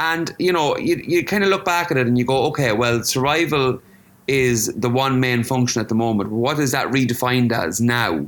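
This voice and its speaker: A man speaks with an Irish Midlands accent at medium pitch and a moderate pace. His pitch varies in an ordinary way, and his loudness stays very even. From Ireland, County Offaly. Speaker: visual artist. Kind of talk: interview.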